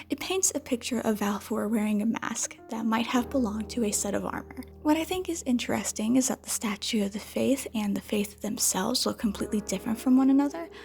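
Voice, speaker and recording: A woman whispers quietly at a very fast pace. Background noise is noticeable. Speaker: video essayist. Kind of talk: video essay commentary. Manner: whispered, quiet.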